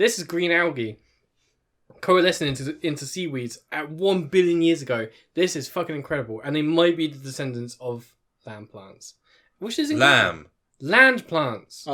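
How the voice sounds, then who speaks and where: A man with a British accent speaks at a moderate pace in a bright, sharp tone with fairly high pitch, lively intonation and big swings in loudness. Long, frequent pauses break his speech, and the recording is very clean with a silent background. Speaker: podcast co-host. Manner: swallows some syllables.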